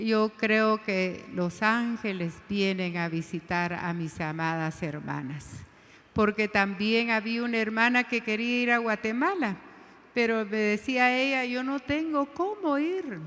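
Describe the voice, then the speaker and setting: A woman's fairly high voice, very slow in pace, with lively intonation. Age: 60s. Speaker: women's ministry leader. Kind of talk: sermon.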